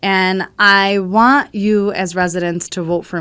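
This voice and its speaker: A woman speaks loudly at a medium pitch with a bright, sharp tone and a fairly slow pace in a very clean recording with a silent background. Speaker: city council candidate. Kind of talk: campaign statement. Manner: animated.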